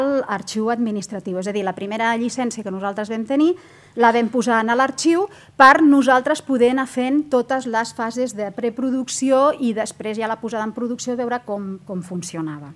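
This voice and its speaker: A woman's high pitch with ordinary pitch variation. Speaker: government archivist, conference speaker; conference speaker. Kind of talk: conference presentation. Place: hall. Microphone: podium.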